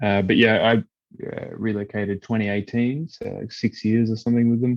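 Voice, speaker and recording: In an Australian accent, a man talks with fairly even intonation. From Australia (Perth). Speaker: musician and event band company manager. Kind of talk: podcast interview.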